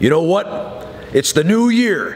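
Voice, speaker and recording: Loud and animated, a man with a high pitch speaks at a fairly slow pace with very wide pitch swings. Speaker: pro wrestler and wrestling trainer. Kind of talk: wrestling promo hyping a boot camp. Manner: brash, boastful trash-talking hype; loud, animated showman bravado. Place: gym. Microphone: phone near.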